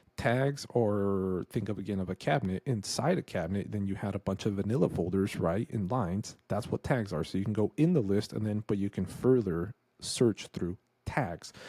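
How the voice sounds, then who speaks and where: A fairly low male voice with a dark, mellow tone, dry with no echo, against a quiet background. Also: ordinary pitch variation, moderate pace. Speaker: real estate investor; presenter. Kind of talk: screen-share tutorial. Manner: casual. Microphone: studio mic.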